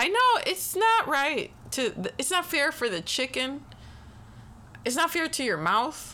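With noticeable background noise behind her, a woman uses a raised, projected voice at a high pitch, very wide pitch swings, a fairly slow pace and long, frequent pauses. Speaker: podcast co-host. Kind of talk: casual banter.

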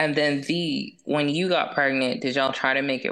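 Here is a woman with a very deep, low voice. Her pitch varies in an ordinary way. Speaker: podcast host. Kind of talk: casual chat.

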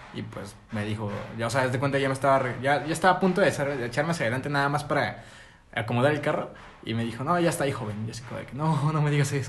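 A man's fairly high voice with a Mexican accent, very fast and with ordinary pitch variation, plus audible room echo and noticeable background noise. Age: 20s. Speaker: podcast co-host. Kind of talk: casual chat.

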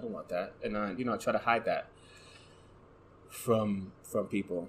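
Soft-spoken and fairly bright in tone, a man talks at a fairly low pitch and a moderate pace with ordinary pitch variation.

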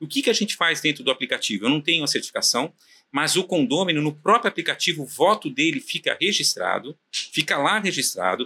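A man's fairly high, bright and sharp voice at a fairly quick pace, very even in loudness, with a dry, close sound and no echo. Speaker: property management company founder. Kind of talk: casual interview chat. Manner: halting, many fillers.

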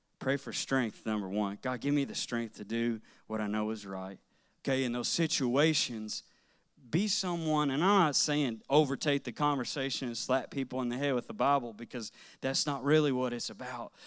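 A man's medium-pitched, ordinary speaking voice at a moderate pace, with ordinary pitch variation, on a very clean recording with a silent background. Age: 30s. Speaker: guest preacher. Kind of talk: sermon.

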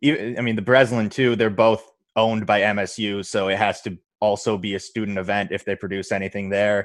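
With an American accent, a man speaks in a normal speaking voice at a fairly low pitch and moderate pace against a quiet background. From Michigan. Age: 20s. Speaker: stand-up comedian. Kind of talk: casual interview.

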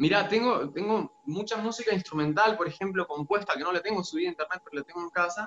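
A high-pitched male voice amid noticeable background noise. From Argentina, Santiago del Estero. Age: 30s. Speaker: singer-songwriter and music teacher. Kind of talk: interview.

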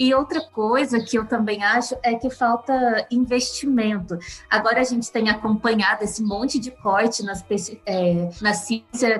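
Noticeable background noise accompanies a woman's fairly high voice. She speaks at a fairly slow pace with fairly even intonation. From southern Minas Gerais, Brazil. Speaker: nutrition professor. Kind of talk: interview.

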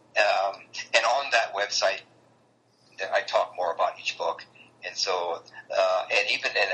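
With an American accent, a man talks amid noticeable background noise. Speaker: author and long-distance hiker. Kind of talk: interview.

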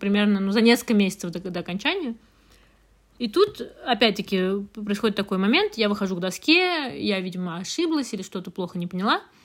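At a fairly quick pace, a woman speaks in a plain, everyday voice at a medium pitch. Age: 20s. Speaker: podcast co-host. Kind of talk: casual chat.

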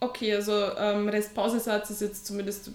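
A woman speaks at a moderate pace in an ordinary speaking voice with a fairly high pitch. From Austria. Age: 30s. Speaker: online fitness coach and teacher. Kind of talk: casual interview.

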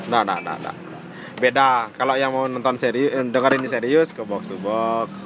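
A man's medium-pitched voice with a strong Balinese accent, ordinary pitch variation, a moderate pace, and noticeable background noise. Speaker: football podcast co-host. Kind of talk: casual chat about football.

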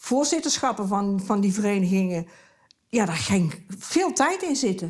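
Somewhat breathy and at medium pitch, a woman talks fairly slowly with lively intonation in a very clean recording with a silent background. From Tilburg, Netherlands. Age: 70s. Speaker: retired neighbour, wife. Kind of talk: casual interview at home. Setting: living room at home.

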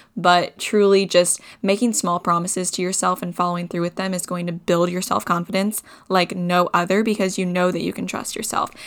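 This woman has an ordinary speaking voice and talks at a fairly quick pace. Her intonation is fairly even. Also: medium pitch for a woman. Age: 20s. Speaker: podcast co-host. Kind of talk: solo casual monologue.

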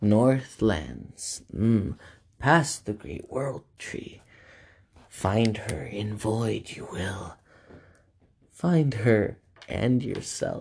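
The speaker uses a put-on character voice. Delivery is very slow, with long, frequent pauses. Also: man, medium pitch for a man. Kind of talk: inverted archaic syntax. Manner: cryptic, ominous.

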